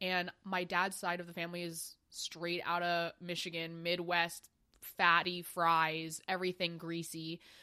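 A woman's fairly low, bright, sharp voice with an American accent, at a moderate pace with hardly any pauses, on a very clean recording with a silent background. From US, New York City then Maryland. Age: 20s. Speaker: podcast co-host. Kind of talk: casual chat.

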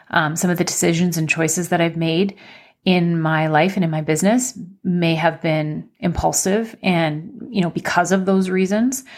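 On a very clean recording with a silent background, a woman with an ordinary speaking voice talks at a moderate pace, her pitch fairly low with ordinary variation. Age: 40s. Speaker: podcast host. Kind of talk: solo podcast monologue, personal sharing. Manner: conversational, with many filler words.

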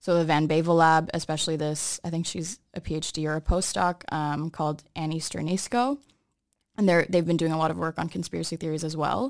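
A woman with an American accent talks at a fairly quick pace. Her pitch is very deep and low. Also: fairly even intonation, very clean recording, silent background. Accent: sounds American. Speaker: podcast co-host. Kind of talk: casual chat. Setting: studio.

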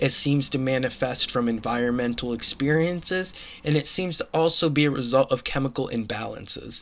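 A man's fairly high voice with ordinary pitch variation, against noticeable background noise. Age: 20s. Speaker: podcast host and psychology student. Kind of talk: solo podcast monologue. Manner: frequent filler words.

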